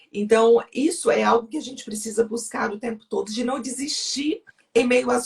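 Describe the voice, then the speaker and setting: This woman's voice is fairly high in pitch, with vocal fry. She keeps a moderate pace and ordinary pitch variation. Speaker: guest sharing testimony. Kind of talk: testimony.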